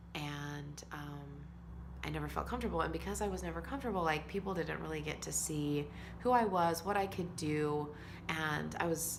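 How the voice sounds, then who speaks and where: A woman talks at a moderate pace, and audible echo from the room hangs around her words. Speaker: author and vlogger. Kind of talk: personal vlog monologue. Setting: alone, self-recorded video. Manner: loud.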